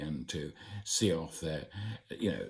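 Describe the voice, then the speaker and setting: A man talks at a moderate pace with ordinary pitch variation. Vocal fry runs through his voice. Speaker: broadcaster. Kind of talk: casual talk to camera. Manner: reassuring.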